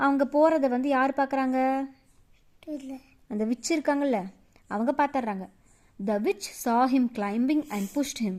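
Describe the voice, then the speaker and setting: The woman's voice is high-pitched with ordinary pitch variation, on a very clean recording with a silent background. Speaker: storyteller. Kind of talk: bedtime story for children.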